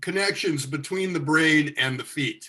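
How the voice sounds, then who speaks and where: At a moderate pace, a man talks in a high pitch. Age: 60s. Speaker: tai chi teacher. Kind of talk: casual chat. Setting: studio.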